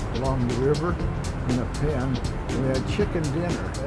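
Over loud music in the background, a man speaks at a moderate pace with an American accent. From Methow Valley, Washington, USA. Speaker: retired local resident. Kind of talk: interview answer. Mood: calm, nostalgic. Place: waterside.

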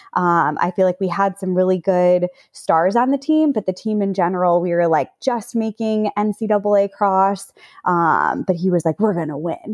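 An ordinary speaking voice from a woman at a medium pitch, at a fairly slow pace with ordinary pitch variation and a dry, close sound with no echo. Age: 30s. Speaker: professional runner. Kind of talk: casual chat.

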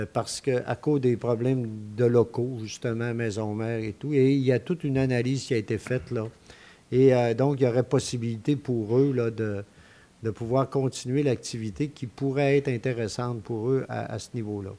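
The voice has a dark, mellow tone, fairly even intonation and a moderate pace. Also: man, medium pitch for a man. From Quebec. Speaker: mayor chairing a town council meeting. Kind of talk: council meeting chairing. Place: hall. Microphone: podium.

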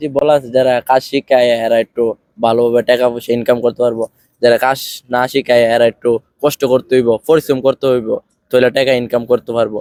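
The sound is dry and close, with no echo. A man speaks with monotone, flat intonation. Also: medium pitch for a man. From Bangladesh, Brahmanbaria. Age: young. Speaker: migrant worker, former tailor. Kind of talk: interview answers.

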